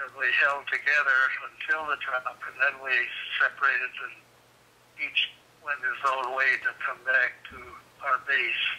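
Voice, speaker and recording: With noticeable background noise behind him, a man talks fairly slowly and pauses often and at length. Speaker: war veteran. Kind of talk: interview.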